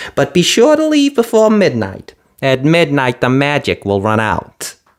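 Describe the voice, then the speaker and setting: A man puts on a character voice. He speaks at a fairly high pitch. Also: moderate pace. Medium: read story. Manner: brisk, bossy.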